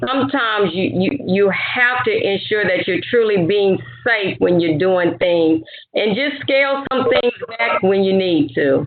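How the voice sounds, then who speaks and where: A woman's medium-pitched voice in an American accent, fairly slow, with very wide pitch swings and noticeable background noise. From Louisiana, US South. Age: 50s. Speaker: retired army officer. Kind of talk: educational talk, Q&A.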